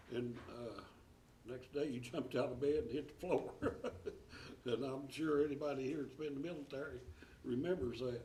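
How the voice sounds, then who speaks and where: A man with an East Tennessee accent speaks at a moderate pace in a medium pitch, his somewhat breathy voice dark and mellow in tone, with fairly even intonation and audible room echo. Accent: Southern US (East Tennessee). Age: 70s. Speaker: school board member. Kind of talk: board meeting speech. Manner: halting.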